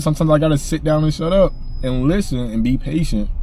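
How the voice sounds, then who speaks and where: Noticeable background noise sits behind a man at medium pitch. He speaks at a moderate pace with lively intonation. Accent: American. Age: 20s. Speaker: poet. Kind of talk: casual chat. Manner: halting.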